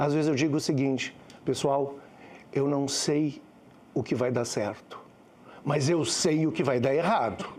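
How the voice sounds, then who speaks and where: Fairly slow and broken by long, frequent pauses, a man's fairly high voice moves with ordinary pitch variation. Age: 60s. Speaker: communications executive. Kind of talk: panel talk.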